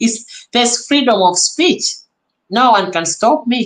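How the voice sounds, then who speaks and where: A woman's animated, lively-intoned speech at a fairly slow pace. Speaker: reaction YouTuber. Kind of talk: live stream reaction commentary. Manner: loud.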